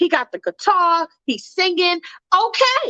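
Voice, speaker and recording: A woman with an extremely high, bright, sharp voice speaks in an animated, passionate tone, raised and projected, with lively intonation at a moderate pace in a dry, close sound with no echo. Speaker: livestream host. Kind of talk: casual live stream chat. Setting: live stream with callers.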